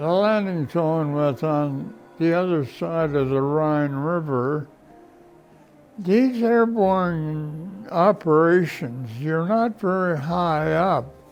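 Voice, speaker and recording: A man at a very slow pace with lively intonation, music in the background. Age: 80s+. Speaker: war veteran. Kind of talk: testimony. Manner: halting.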